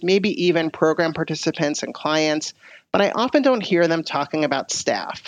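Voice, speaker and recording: A woman talks at a fairly quick pace in a plain, everyday voice with a fairly low pitch. The background is quiet. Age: 40s. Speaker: podcast host, agency co-director. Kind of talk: interview.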